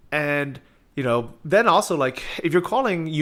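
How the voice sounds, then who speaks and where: With an American accent, this man has a plain, everyday voice, pitched fairly high, with lively intonation. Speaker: interviewer, e-commerce entrepreneur. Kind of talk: interview.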